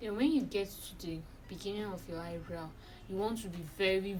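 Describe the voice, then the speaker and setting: Room echo surrounds a woman whose fairly low voice shows ordinary pitch variation. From Nigeria. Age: 20s. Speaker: beauty vlogger. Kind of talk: tutorial.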